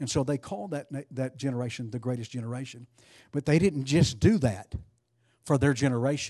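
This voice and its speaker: A man speaks very fast at a medium pitch with ordinary pitch variation and a dark, mellow tone, over a quiet background. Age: 60s. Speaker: preacher. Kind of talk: sermon.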